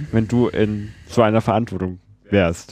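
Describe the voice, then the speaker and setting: A man talks with a normal speaking voice at medium pitch. His pace is fairly slow and his intonation fairly even. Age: young. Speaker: student podcast host. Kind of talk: casual interview. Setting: at guest's place.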